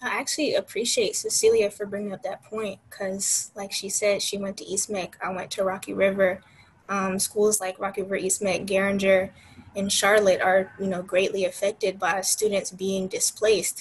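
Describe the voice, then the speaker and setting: A woman speaks in a flat monotone at a moderate pace over light background noise. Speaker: architecture student; panelist. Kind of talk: panel discussion. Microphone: video call.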